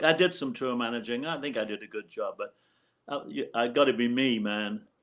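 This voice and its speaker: With a northeast English accent, a man speaks at a moderate pace with lively intonation. The background is quiet. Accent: British (northeast English). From northeast England, Hartlepool. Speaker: former roadie and tour manager. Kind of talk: casual interview chat.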